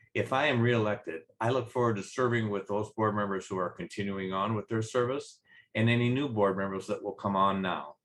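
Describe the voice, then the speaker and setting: At a fairly quick pace, a man talks with a fairly low pitch and ordinary pitch variation. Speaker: HOA board candidate. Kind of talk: campaign statement. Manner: plain and direct.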